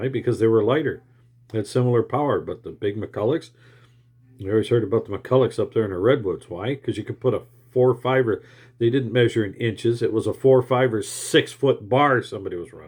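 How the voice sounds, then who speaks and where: A man with a medium pitch and ordinary pitch variation talks at a fairly quick pace. His voice is somewhat breathy, with big swings in loudness. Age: old. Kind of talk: casual monologue to camera.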